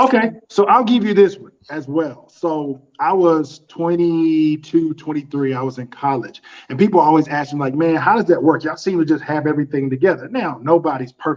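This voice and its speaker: With a fairly high pitch, a man talks at a moderate pace, hardly pausing at all. His loudness swings widely while his pitch variation stays ordinary. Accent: Southern US. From US South, North Carolina. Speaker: custom suit designer and business owner. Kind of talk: podcast interview.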